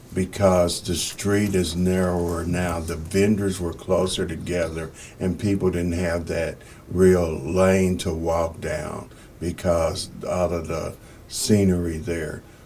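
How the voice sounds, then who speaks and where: Over noticeable background noise, a man with a very deep, low voice speaks very slowly in a monotone, flat way. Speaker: podcast host, newspaper publisher. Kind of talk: podcast interview questions.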